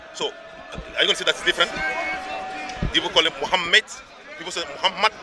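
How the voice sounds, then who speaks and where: An animated tone from a man over noticeable background noise. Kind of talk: heated debate.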